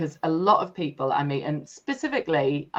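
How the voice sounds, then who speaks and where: A woman speaks at a moderate pace in a very deep, low pitch. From Sunderland, North East England. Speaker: energy leadership coach and breathwork facilitator. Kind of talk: podcast interview answer.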